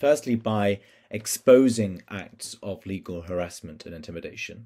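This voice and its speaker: Against a quiet background, a man with a fairly low pitch speaks with lively intonation. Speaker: civil society coalition representative. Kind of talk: prepared statement. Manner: formal. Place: home room. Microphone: webcam.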